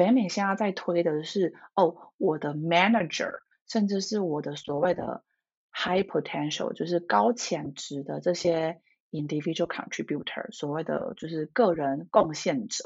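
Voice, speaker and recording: A woman with an ordinary speaking voice talks at a fairly slow pace, her fairly low pitch carried by lively intonation. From Taiwan. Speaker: leadership coach. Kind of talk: interview.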